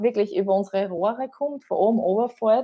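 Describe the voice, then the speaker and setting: At a moderate pace, a woman talks in an ordinary speaking voice with a medium pitch. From Austria, southern Burgenland (Oberwart district). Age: 30s. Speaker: journalist and Red Cross worker. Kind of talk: podcast interview.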